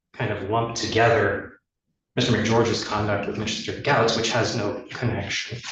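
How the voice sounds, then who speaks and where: The pace is moderate. Room echo can be heard. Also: man. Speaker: attorney for the defense. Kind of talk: legal argument in court. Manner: halting, many filler ums.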